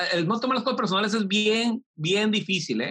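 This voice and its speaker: A man's bright, sharp-toned voice comes at a medium speed. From Mexico, Tijuana. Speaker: tech entrepreneur. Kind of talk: interview. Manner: animated.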